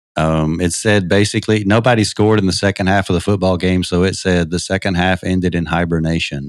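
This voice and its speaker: This man has a very deep, low voice and an American accent. He talks very fast with hardly any pauses and fairly even intonation. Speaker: environmental journalist. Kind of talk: interview. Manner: soft-spoken.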